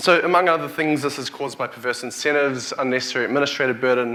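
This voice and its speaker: With a New Zealand accent, a man talks at a very fast pace and medium pitch over noticeable background noise. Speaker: tech company CEO, keynote speaker. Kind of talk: conference keynote. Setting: stage with audience. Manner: halting, with frequent restarts and fillers.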